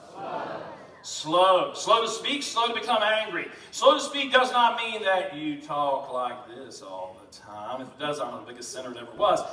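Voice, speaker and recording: A man with a Southern US accent speaks in a raised, projected voice at a high pitch with very wide pitch swings, amid noticeable background noise and audible room echo. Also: big swings in loudness. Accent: Southern American. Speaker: pastor. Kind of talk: sermon. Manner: fast.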